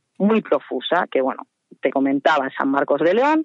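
A woman is speaking. Her pitch swings very widely. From Spain, Salamanca. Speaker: art historian and blogger. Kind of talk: expert explanation.

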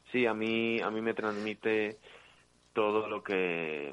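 The speaker is a man. The ups and downs of his pitch are ordinary. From Ecuador. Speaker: dancer and impersonator. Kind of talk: interview.

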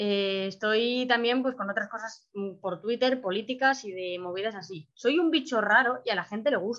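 Her pitch fairly high, the woman speaks in a bright, sharp tone with lively intonation. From Spain. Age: 20s. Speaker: adoptee, 3D animation student. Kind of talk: interview, personal testimony.

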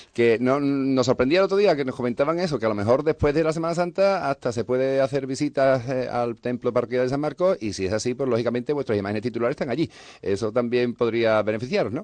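Against a quiet background, with a dry, close sound and no echo, a man at medium pitch rushes along at a very fast pace with hardly any pauses and ordinary pitch variation. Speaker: radio host. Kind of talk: radio magazine show. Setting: studio.

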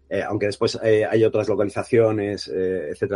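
A man's medium-pitched voice, somewhat breathy. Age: 40s. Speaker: film director. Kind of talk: interview. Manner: halting, many repetitions and fillers.

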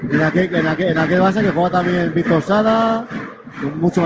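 His voice sits high in pitch. Background noise is clearly audible as the man talks. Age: 30s. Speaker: basketball radio commentator. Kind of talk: live commentary. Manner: animated.

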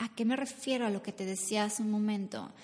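The voice has an animated tone and moves at a moderate pace. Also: woman. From Mexico. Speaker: podcast host and business coach. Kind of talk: faith-based motivational talk. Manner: halting.

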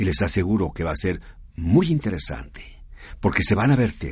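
A man talks at a fairly slow pace, his voice showing vocal fry and very wide pitch swings. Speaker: radio host of a service club program. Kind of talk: radio talk show.

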